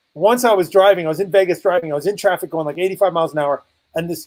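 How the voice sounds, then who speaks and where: A man talks loudly at a very fast pace in an animated tone. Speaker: business coach. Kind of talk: interview.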